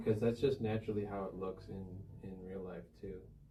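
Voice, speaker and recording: In a room with audible echo, a man with an American accent speaks at a fairly low pitch with flat, monotone intonation. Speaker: professional painter. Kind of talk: painting tutorial.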